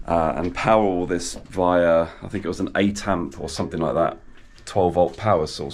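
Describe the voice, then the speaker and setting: A man with a very deep, low voice speaks at a fairly quick pace with fairly even intonation, and room echo is audible. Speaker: DIY video creator. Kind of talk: tutorial. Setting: outdoors among garages. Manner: soft-spoken; halting, many fillers.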